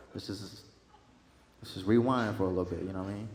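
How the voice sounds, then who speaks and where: A man with an American accent talking at a fairly quick pace, with audible room echo. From Texas. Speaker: stand-up comedian. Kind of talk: stand-up. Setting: stage with audience. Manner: animated.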